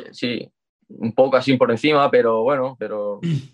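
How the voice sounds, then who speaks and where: This is an unremarkable speaking voice at a fairly slow pace. The sound is dry and close, with no echo. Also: man. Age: 20s. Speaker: calisthenics athlete. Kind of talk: casual chat.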